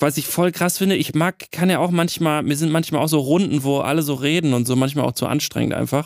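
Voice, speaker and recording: Fairly high in pitch, a man with an ordinary speaking voice talks at a fairly quick pace with hardly any pauses, very even loudness and fairly even intonation, in a very clean recording with a silent background. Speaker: sound designer, podcast co-host. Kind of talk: casual chat.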